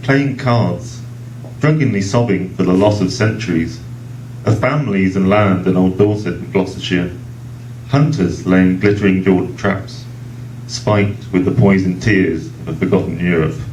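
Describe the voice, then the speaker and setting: With an English accent, a man of fairly low pitch speaks at a moderate pace with ordinary pitch variation, over noticeable background noise and audible room echo. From England. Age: 40s. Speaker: poet. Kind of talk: poetry reading; casual introduction. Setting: book launch event at a restaurant.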